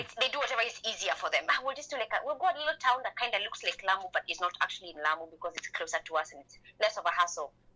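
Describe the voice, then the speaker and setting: Talking at a very fast pace, a woman with a fairly high pitch makes very wide pitch swings and big swings in loudness over noticeable background noise. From Kenya. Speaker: entrepreneur. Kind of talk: radio interview answer. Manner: spunky.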